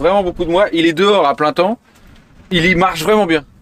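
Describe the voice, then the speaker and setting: At a moderate pace, a man talks with a high pitch. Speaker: bike cleaning tutorial presenter. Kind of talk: outdoor tutorial demo. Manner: casual, hesitant with fillers.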